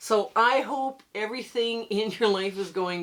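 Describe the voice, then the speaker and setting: A woman speaks with fairly high pitch and lively intonation over noticeable background noise. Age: 60s. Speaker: quilting tutorial host. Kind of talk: casual chat; tutorial. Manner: casual, chatty.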